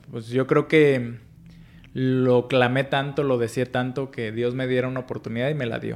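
Intonation from this man is monotone and flat. He speaks at a moderate pace and a medium pitch. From Mexico, Michoacán (Paracho). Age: 40s. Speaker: financial educator and entrepreneur. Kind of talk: interview. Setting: office.

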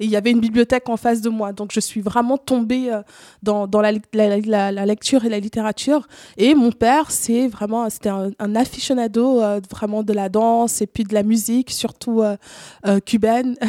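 Dry and close with no echo, a woman's fairly high-pitched voice has a dark, mellow tone, a moderate pace and a monotone, flat intonation. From Cameroon. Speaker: artist, photographer. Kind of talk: casual interview.

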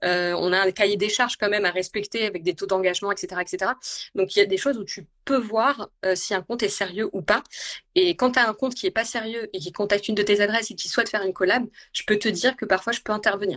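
Speaking at a very fast pace, a woman keeps a medium pitch with ordinary pitch variation in a dry, close sound with no echo. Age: 30s. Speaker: food and travel content creator. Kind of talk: casual chat. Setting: Instagram live video call.

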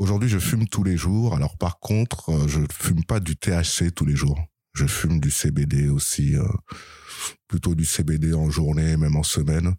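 Dark, mellow tone at a fairly slow pace, with ordinary pitch variation, very even loudness and a dry, close sound with no echo. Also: man, very deep, low pitch for a man. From Paris region, eastern suburbs (Seine-et-Marne). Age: 30s. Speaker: former cannabis dealer. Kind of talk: interview.

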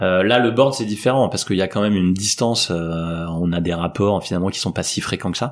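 Hardly pausing at all, a man speaks at a fairly quick pace with a very deep, low pitch and ordinary pitch variation. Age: 40s. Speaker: tech company founder. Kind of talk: interview. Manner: hesitant, many fillers.

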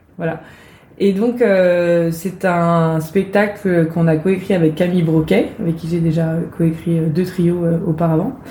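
A woman speaks at a fairly slow pace, her pitch fairly low and her intonation fairly even. Audible room echo and noticeable background noise surround her voice. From Brittany, France (village near Rennes). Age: 30s. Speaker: actress and playwright. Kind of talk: interview.

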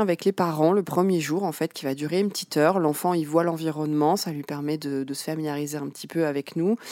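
Recorded very cleanly against a silent background, a woman speaks in a very deep, low pitch with a dry, close sound and no echo. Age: 30s. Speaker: early childhood educator. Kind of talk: interview. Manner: halting.

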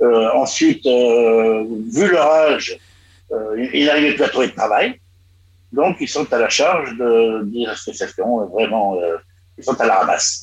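A man's medium-pitched voice with lively intonation, at a very slow pace with long, frequent pauses. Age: 70s. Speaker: retired expatriate. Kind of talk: radio discussion. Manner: halting.

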